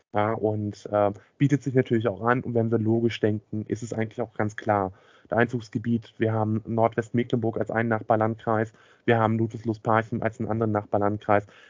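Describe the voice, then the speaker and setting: A man's medium-pitched voice comes out monotone, with flat intonation. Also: fairly quick pace. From Schwerin, northern Germany. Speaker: podcast co-host. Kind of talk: casual chat.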